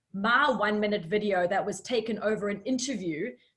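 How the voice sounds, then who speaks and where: A woman speaks in a plain, everyday voice. Her pitch is fairly high and her intonation lively. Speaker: online coach running a pitch video challenge. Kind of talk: live group coaching session.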